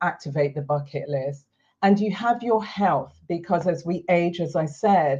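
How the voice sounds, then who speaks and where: Over a quiet background, a woman with a normal speaking voice speaks at a fairly slow pace in a fairly low pitch. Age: 60s. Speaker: retirement lifestyle coach and video host. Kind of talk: talking-head explainer video.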